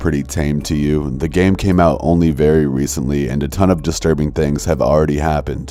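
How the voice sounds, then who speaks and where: A man with a very deep, low pitch talks fairly quickly and with fairly even intonation amid noticeable background noise. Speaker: horror story narrator. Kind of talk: casual outro talk to viewers.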